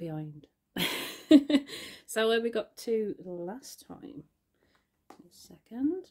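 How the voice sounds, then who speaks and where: A woman's dark, mellow tone with very wide pitch swings and a very slow pace against a quiet background. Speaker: artist. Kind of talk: casual talk to camera. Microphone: phone near.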